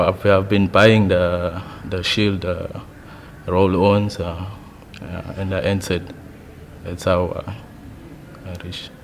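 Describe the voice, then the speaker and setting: A man with a very deep, low pitch, very slow pace, monotone, flat intonation, long, frequent pauses and big swings in loudness, over light background noise. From South Africa, Durban area. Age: 20s. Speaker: amateur footballer, competition contestant. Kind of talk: interview testimony. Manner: halting, with fillers and repetitions. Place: studio.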